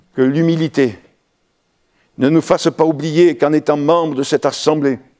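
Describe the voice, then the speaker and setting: Recorded very cleanly against a silent background, with a dry, close sound and no echo, a man speaks in an ordinary speaking voice at a fairly high pitch, a moderate pace, fairly even intonation and very even loudness. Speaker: pastor. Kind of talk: sermon.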